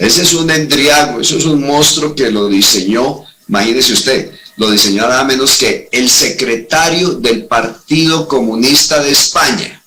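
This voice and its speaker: A man talks at a fairly slow pace with lively intonation and very even loudness. Noticeable background noise and audible room echo fill the recording. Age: 60s. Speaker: retired army colonel, security analyst. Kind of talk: interview on security analysis. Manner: animated.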